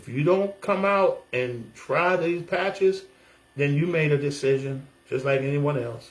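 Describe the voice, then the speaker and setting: With an American accent and an animated tone, a man speaks at a fairly slow pace, his fairly high voice somewhat breathy with ordinary pitch variation. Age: 60s. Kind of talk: testimony vlog. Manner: halting.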